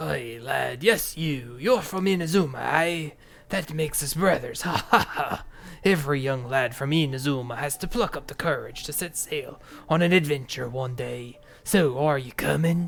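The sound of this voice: Using a put-on character voice, a man sounds gravelly at a fairly high pitch. He keeps a moderate pace.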